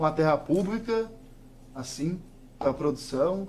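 A man speaks with lively intonation. His speed is moderate. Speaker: local politician. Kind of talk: interview. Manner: forceful.

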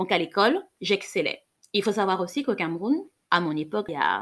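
A woman speaks at a fairly quick pace in an animated tone, her voice shaky. The recording is very clean, with a silent background. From Cameroon. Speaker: podcast host, sexologist and psychologist. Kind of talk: solo podcast monologue. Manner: slightly trembling voice.

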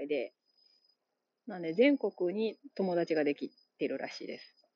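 A woman with a Kansai accent, lively intonation, and a moderate pace. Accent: Kansai Japanese. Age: 30s. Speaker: podcast host. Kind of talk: solo monologue. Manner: casual, halting with fillers.

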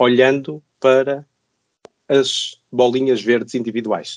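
At a fairly slow pace, a man with a fairly high pitch is heard in a dry, close recording with no echo. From northern Portugal, Braga. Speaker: physics professor. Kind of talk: podcast interview.

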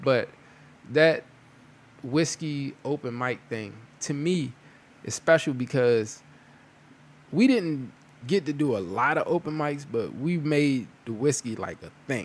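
Speaking at a fairly slow pace with long, frequent pauses, a man uses a fairly high pitch and an animated tone. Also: ordinary pitch variation. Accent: American. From Prince George's County, Maryland. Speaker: podcast host. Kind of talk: casual chat. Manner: animated, laughing.

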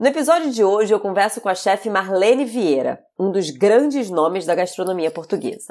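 Using a normal speaking voice, a woman at medium pitch talks at a moderate pace with lively intonation and hardly any pauses. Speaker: podcast host and chef. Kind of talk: podcast intro; interview conversation.

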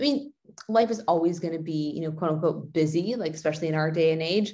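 The voice belongs to a woman. Her pitch moves with ordinary variation. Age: 30s. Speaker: fitness and nutrition coach. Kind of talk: casual chat.

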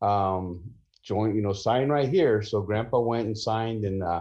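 A dark, mellow tone at a moderate pace over a quiet background. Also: man. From US West Coast, San Jose, California. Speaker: filmmaker and former pastor. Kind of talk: casual interview.

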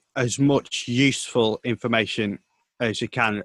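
A man speaks at a medium pitch with a bright, sharp tone, recorded dry and close with no echo. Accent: northern English. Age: 20s. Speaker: sports reporter and commentator. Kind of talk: casual interview. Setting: video call.

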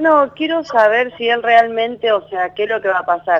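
A woman has a normal speaking voice, fairly high in pitch. She talks fairly slowly with lively intonation. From Argentina, Santa Fe. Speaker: caller, masseuse. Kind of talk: phone-in consultation. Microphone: too quiet.

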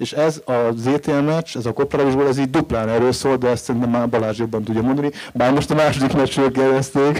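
A man with a normal speaking voice, medium pitch, fairly even intonation, very even loudness and a fairly quick pace with hardly any pauses. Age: 40s. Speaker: writer. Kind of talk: panel discussion.

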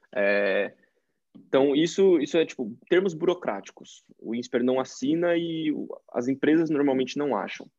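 Here a man with an unremarkable speaking voice talks at a fairly slow pace. His voice sits fairly high, and his intonation is lively. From interior of São Paulo state, Brazil (Tietê). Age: 20s. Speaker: engineering student and growth marketer. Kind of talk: casual interview chat.

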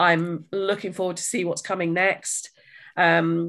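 With a British accent, a woman speaks at a medium pitch. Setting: remote video call.

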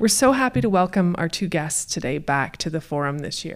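A woman with a normal speaking voice, fairly low in pitch, with lively intonation. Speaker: event director. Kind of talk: event introduction. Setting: stage with audience.

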